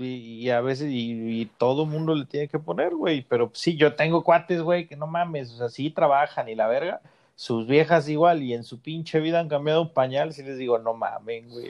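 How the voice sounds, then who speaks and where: A man uses a normal speaking voice, pitched fairly high with ordinary pitch variation. He keeps a moderate pace with hardly any pauses and big swings in loudness. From Mexico, rural Guanajuato. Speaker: podcast host, father. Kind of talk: casual chat.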